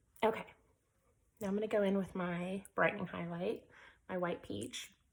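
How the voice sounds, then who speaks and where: With vocal fry, a woman speaks at medium pitch and a moderate pace, her intonation fairly even. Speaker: makeup tutorial creator. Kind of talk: tutorial. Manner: casual, with fillers.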